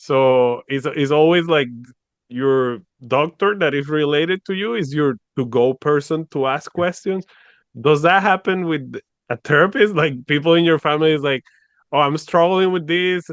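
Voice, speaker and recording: Ordinary pitch variation at a moderate pace. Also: man, fairly high pitch for a man. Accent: Spanish. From Venezuela. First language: Spanish. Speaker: podcast host. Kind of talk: casual interview conversation.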